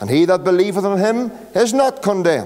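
This man speaks at a moderate pace with lively intonation. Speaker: pastor. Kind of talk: scripture reading and sermon. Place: church. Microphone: podium.

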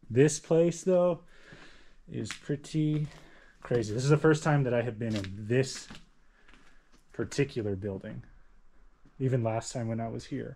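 Over light background noise, a man speaks fairly slowly with long, frequent pauses. His tone is dark and mellow, with ordinary pitch variation. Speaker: explorer vlogger. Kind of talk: casual vlog chat. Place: classroom. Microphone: phone near.

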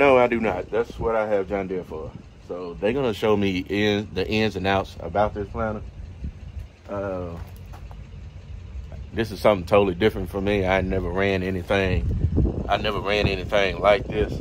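A man with a fairly low pitch speaks at a moderate pace in fairly even intonation, leaving long, frequent pauses over light background noise. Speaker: farmer vlogger. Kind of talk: casual vlog chat. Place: farm machine. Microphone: phone near.

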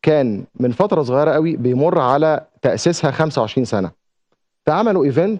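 A man's fairly high voice with very wide pitch swings, at a fairly slow pace over a quiet background. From Egypt. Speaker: TV presenter and journalist; TV presenter, journalist. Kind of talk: TV segment monologue. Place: studio. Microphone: lapel.

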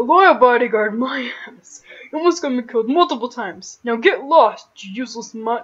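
Someone uses a put-on character voice with a fairly high pitch at a moderate pace. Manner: cold, dismissive, angry.

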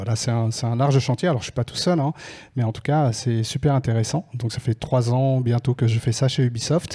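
A man's somewhat breathy voice with a dark, mellow tone and fairly even intonation. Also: quiet background. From France. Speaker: scholarship association organizer. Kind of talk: presentation. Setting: stage with audience. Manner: halting. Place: stage. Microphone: handheld.

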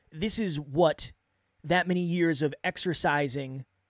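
A man speaks at a high pitch against a quiet background, the sound dry with no echo. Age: 30s. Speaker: podcast coach and host; podcast coach, host. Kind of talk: solo monologue. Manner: off the cuff, unscripted. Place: studio. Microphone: studio mic.

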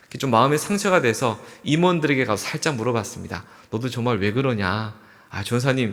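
Room echo is audible as a man speaks at a moderate pace. His pitch is medium and his intonation is lively. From South Korea, Andong, North Gyeongsang. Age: 40s. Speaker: pastor. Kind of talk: sermon.

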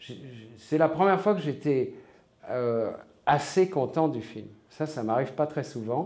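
A man speaking at a very slow pace. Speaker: interviewee. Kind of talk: interview answer. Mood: reflective, calm. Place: home room.

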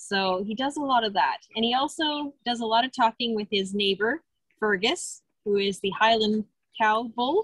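A woman's voice at a moderate pace, with ordinary pitch variation, dry sound with no echo, and a quiet background. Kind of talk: informal talk about animals. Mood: warm, amused. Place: farm machine. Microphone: phone near.

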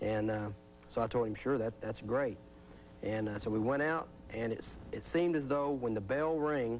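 With music playing in the background, a man talks at a moderate pace with ordinary pitch variation. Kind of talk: interview answer. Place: studio.

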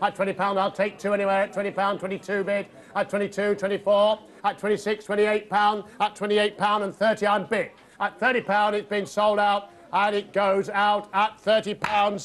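A man speaks very slowly in a high pitch, his intonation flat and monotone. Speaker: volunteer charity auctioneer. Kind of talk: auction calling. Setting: live auction room. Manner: smooth, charming patter. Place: hall.

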